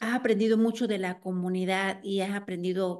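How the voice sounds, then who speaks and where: A woman's medium-pitched voice, monotone and flat, at a moderate pace against a quiet background. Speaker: interviewer, community storytelling series host. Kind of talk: interview. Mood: warm, smiling. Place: home room. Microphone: video call.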